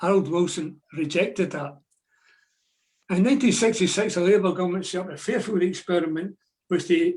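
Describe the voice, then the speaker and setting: At a fairly quick pace, a man with a Glaswegian accent speaks at a high pitch with fairly even intonation. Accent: Glaswegian Scottish. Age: 80s+. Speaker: retired shipyard draftsman and trade unionist. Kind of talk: historical talk at online meeting.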